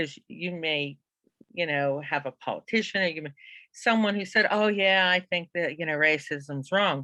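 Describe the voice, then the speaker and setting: An ordinary speaking voice from a woman, fairly low in pitch with ordinary pitch variation, at a fairly slow pace, in a dry, close sound with no echo. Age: 60s. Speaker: psychology instructor. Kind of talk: class discussion.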